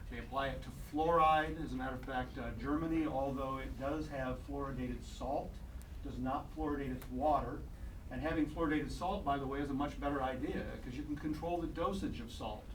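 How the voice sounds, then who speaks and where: A man with a Midwestern US accent at a fairly quick pace, with noticeable background noise and audible room echo. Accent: US Midwest. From Iowa/Illinois, US Midwest. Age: 60s. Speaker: doctor and health radio broadcaster. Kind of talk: public comment at city council. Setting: city council meeting. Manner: halting, with fillers.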